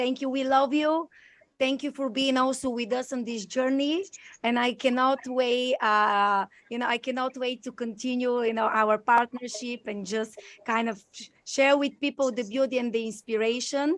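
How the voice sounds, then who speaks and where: In a Bulgarian accent, a woman speaks at a moderate pace in a high pitch with fairly even intonation. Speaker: podcast and live stream host. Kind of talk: live video chat interview. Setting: video call. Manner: effusive, many fillers.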